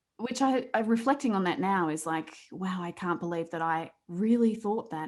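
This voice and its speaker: A woman's medium-pitched voice with an Australian accent and lively intonation, on a very clean recording over a silent background. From Australia, rural New South Wales. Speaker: accident survivor and coach. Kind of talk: interview testimony.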